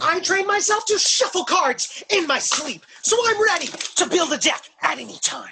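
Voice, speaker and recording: The voice has an extremely high pitch. It moves at a moderate pace. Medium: comedy sketch. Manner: competitive, boastful.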